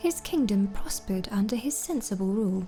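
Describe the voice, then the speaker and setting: A calm tone at a moderate pace, with music in the background. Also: woman. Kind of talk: lore book reading, bedtime story ASMR. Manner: soft-spoken, calm.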